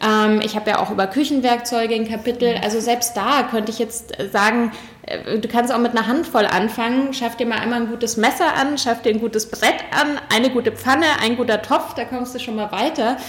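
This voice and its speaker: A fairly high-pitched woman's voice at a fairly quick pace, with fairly even intonation and noticeable background noise. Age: 40s. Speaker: cook and cookbook author. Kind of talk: interview.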